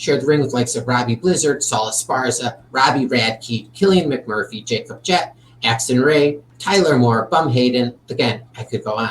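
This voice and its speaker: With a normal speaking voice, a man at medium pitch keeps a moderate pace with ordinary pitch variation and hardly any pauses. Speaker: podcast host. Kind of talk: interview.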